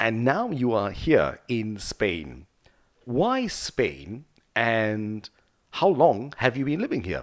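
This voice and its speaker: A man speaks at a very slow pace with a medium pitch, swinging very widely up and down. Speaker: podcast host. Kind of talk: podcast interview questions. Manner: enthusiastic.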